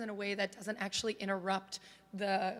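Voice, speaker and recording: A woman speaks over noticeable background noise. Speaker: conference tech coordinator. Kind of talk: conference presentation.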